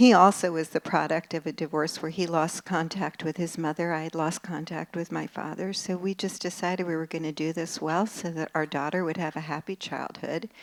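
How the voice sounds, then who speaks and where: With a plain, everyday voice, a woman speaks at a fairly quick pace with hardly any pauses, a fairly low pitch and fairly even intonation. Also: very clean recording, silent background. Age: 60s. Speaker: psychotherapist and relationship author. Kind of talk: talk to a live audience.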